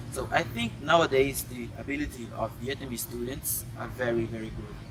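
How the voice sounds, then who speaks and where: Moderately paced speech from a man, noticeable background noise and audible room echo around it. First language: Portuguese. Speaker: foreign university student interviewee. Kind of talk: street interview.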